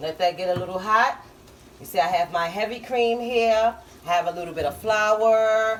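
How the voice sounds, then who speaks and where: A woman speaks at a fairly high pitch and a moderate pace while noticeable background noise goes on. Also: ordinary pitch variation. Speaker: home cooking channel host. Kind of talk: cooking tutorial. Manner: casual, with many fillers.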